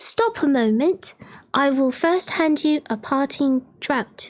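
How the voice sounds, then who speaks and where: A woman growls in a high, put-on character voice at a fairly slow pace. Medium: read story.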